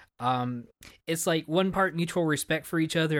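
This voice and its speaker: Over a silent background in a very clean recording, a man with an American accent uses a normal speaking voice, ordinary pitch variation, and a fairly quick pace. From Texas. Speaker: podcast host. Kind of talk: casual chat.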